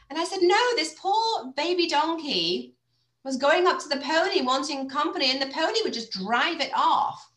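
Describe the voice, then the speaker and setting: This woman has a high pitch and lively intonation, speaking at a moderate pace. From Cheshire, northern England. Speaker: podcast host. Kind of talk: casual interview chat. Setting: video call.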